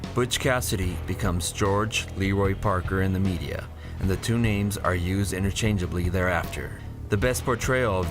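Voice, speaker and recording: Over background music, a man with a fairly low pitch speaks at a moderate pace with fairly even intonation and very even loudness. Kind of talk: documentary narration.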